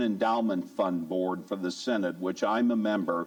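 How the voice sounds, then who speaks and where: Speech comes in an American accent at a moderate pace. Audible room echo surrounds it. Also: man. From US Midwest. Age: 60s. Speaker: church lay speaker, giving ministry chair. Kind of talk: church talk on giving. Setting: church service.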